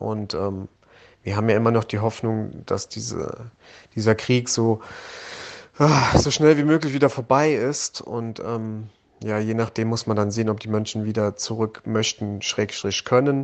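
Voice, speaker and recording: A man talks at a medium pitch, his intonation fairly even. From Germany, Hunsrück. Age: 30s. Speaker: volunteer aid organizer, former soldier. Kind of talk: interview. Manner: hesitant, repeats words.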